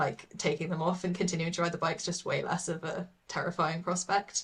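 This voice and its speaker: A woman with a British accent speaks at a moderate pace, her fairly low voice held in a monotone, flat intonation. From England, London. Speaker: artist. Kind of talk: casual interview chat.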